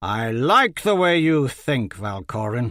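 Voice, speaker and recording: Putting on a character voice, a man of medium pitch talks at a fairly slow pace with very wide pitch swings. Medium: read story. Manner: imperious, impatient.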